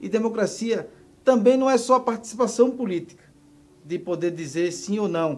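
Lively intonation marks this man's high-pitched voice as he speaks at a moderate pace. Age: 40s. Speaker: social movement leader. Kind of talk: interview.

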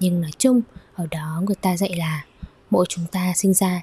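Soft-spoken and somewhat breathy, a woman talks at a moderate pace in a medium pitch with a dark, mellow tone and fairly even intonation, recorded with a dry, close sound and no echo. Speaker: yoga teacher and podcast host. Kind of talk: solo podcast monologue.

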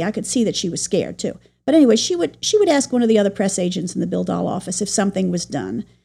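A woman talks at a very fast pace with an American accent and lively intonation. Her tone is dark and mellow, with vocal fry. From New York City. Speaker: Broadway press agent. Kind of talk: interview.

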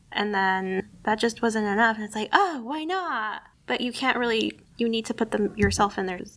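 Using a normal speaking voice, a woman with fairly high pitch talks at a moderate pace with ordinary pitch variation and hardly any pauses. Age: 20s. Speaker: library podcast host. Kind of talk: casual chat.

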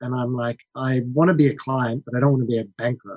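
Recorded with a dry, close sound and no echo, a man in an unremarkable speaking voice talks at a moderate pace and medium pitch with fairly even intonation. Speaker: marketing executive and investor. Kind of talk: casual interview chat.

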